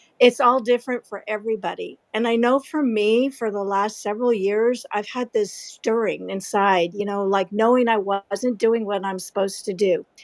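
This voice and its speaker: A woman talks at a moderate pace with fairly even intonation. It is a plain, everyday voice. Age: 60s. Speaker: aspiring author. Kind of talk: personal testimony. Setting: live audio chat room.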